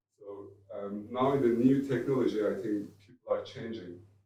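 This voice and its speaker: Speaking at a moderate pace, a man talks with a Turkish accent. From Turkey. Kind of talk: panel discussion. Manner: halting.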